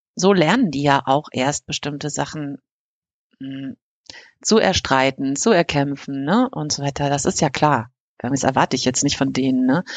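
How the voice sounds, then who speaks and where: A woman speaks at a moderate pace. Her pitch is very deep and low, with ordinary variation. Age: 50s. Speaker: podcast co-host. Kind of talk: casual chat.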